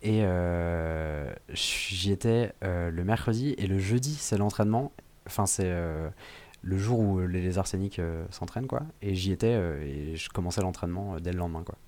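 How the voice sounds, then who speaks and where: With ordinary pitch variation, this man talks in a very deep, low pitch. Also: fairly slow pace. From western France, Vendée. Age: 20s. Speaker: improv actor. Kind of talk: casual interview. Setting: remote recording.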